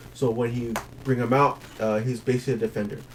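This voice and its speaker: Against noticeable background noise, a man with a medium pitch talks at a very fast pace with fairly even intonation. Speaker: card game tournament player. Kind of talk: deck profile explanation. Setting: at a game store. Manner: halting, many fillers.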